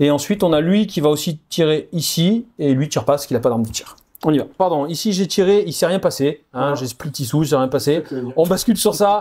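Hardly any pauses interrupt this fairly quick delivery, which has a dark, mellow tone and lively intonation. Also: man, fairly high pitch for a man. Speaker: wargame player. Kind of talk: game commentary.

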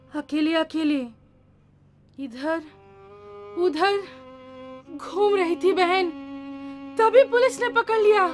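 A woman's extremely high-pitched voice at a very slow pace, with long, frequent pauses and clear music in the background. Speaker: stage actor. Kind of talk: dramatic stage monologue. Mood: aggrieved, pleading. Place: stage.

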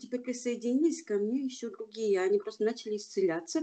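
A woman with a high pitch speaks in a dark, mellow tone. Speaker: class participant. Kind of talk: testimony. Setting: video call. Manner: animated.

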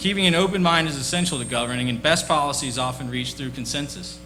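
A man with an American accent talks at a fairly quick pace. Audible room echo and noticeable background noise fill the recording. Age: 30s. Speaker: town council candidate. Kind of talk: candidate opening statement. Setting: public forum with audience. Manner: formal.

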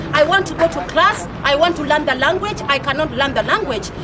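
A woman talks at a fairly quick pace and a high pitch with ordinary pitch variation, while clear crowd noise and other clear background noise fill the recording.

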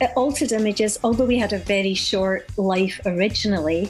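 A woman's medium-pitched voice at a moderate pace, with ordinary pitch variation and faint music in the background. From Glasgow, Scotland. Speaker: singer and actress. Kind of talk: radio interview answer. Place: studio.

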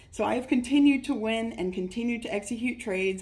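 Somewhat breathy, the voice moves at a moderate pace with an American accent. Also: woman. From US West Coast, Northern California Bay Area. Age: 30s. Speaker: trading course student. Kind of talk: testimonial. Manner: animated. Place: home room. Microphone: phone near.

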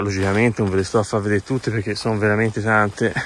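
At a fairly quick pace, a man speaks in a fairly low voice, the sound dry with no echo. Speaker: urban explorer vlogger; urban explorer narrator. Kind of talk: walkthrough video commentary. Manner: quiet, speaking low. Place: open country. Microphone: phone near.

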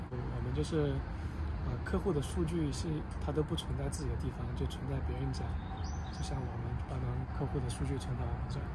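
Loud background noise fills the recording. Over it, a man talks at a fairly quick pace. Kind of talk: interview answer. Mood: relaxed, friendly. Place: street. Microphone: phone near.

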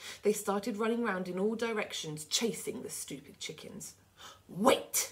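A natural voice reading aloud

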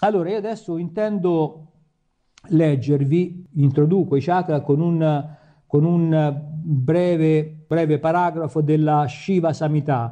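Speaking very slowly over a quiet background, a man uses a fairly high pitch and a dark, mellow tone with fairly even intonation. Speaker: yoga teacher. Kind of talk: lecture. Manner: halting.

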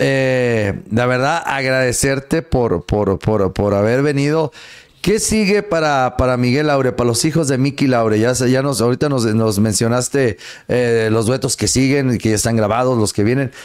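Against a quiet background, a man speaks at a moderate pace and medium pitch, with ordinary pitch variation and very even loudness. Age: 40s. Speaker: radio host. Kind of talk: casual chat. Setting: studio. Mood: friendly, animated. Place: studio. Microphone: studio mic.

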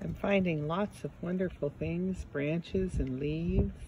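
The speaker goes at a fairly slow pace while noticeable background noise carries on underneath. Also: dry sound with no echo. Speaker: presenter. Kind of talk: casual guided nature walk talk to children. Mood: warm, gentle, cheerful. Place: garden. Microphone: phone near.

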